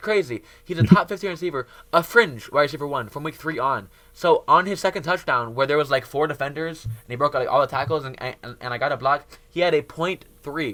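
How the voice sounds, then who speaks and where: A man with a bright, sharp, animated tone, big swings in loudness, ordinary pitch variation and a fairly quick pace. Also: fairly high pitch for a man. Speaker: fantasy football podcast host. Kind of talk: casual chat. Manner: fast.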